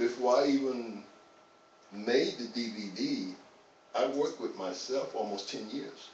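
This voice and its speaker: Someone with an American accent talks at a fairly slow pace, leaving long, frequent pauses. Noticeable background noise and audible room echo fill the recording. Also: man. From US South, North Carolina. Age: 60s. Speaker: fitness trainer. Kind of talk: interview. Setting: live stream.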